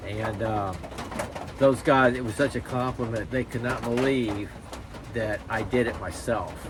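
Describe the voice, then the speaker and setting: A man at medium pitch with ordinary pitch variation and a moderate pace, amid audible room echo and noticeable background noise. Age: 60s. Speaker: YouTuber, knife hobbyist. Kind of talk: casual vlog talk to camera. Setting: outdoor shop. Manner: rambling, hesitant with many fillers.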